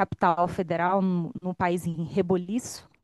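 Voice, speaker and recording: Speaking in a Minas Gerais accent, a woman with a dark, mellow tone and medium pitch talks at a fairly slow pace in a monotone, flat intonation, with a dry, close sound with no echo and a quiet background. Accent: Minas Gerais (mineiro). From Brazil, Minas Gerais (Belo Horizonte). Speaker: speaker at union event. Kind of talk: opening speech.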